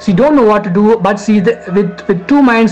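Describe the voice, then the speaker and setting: The speech moves at a moderate pace. Music can be heard in the background. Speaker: devotional storyteller. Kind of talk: religious story narration to camera. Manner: hesitant, stammering.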